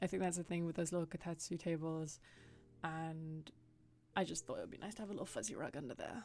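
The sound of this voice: With a British accent, a woman talks at a very fast pace, her fairly low pitch showing ordinary variation.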